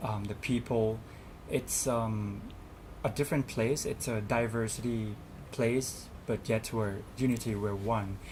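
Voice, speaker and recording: A man at medium pitch with a Thai accent, somewhat breathy, at a fairly slow pace in a monotone, flat intonation. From Thailand. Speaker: student representative. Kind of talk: interview. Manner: hesitant, many fillers.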